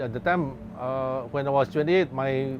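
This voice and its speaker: Over noticeable background noise, a man talks at a moderate pace and a medium pitch, with ordinary pitch variation. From Singapore. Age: 60s. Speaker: shop owner. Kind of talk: interview.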